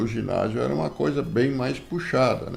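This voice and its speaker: This man talks fairly slowly. The room's echo can be heard. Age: 70s. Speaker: grandfather interviewed for school project. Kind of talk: interview. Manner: hesitant, frequent filler words.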